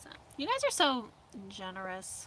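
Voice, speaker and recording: The voice is raised and projected. It carries an American accent. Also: woman. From US Midwest, Indianapolis area. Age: 30s. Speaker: van-life vlogger. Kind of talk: casual livestream chat reading viewer comments. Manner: casual, filler-heavy.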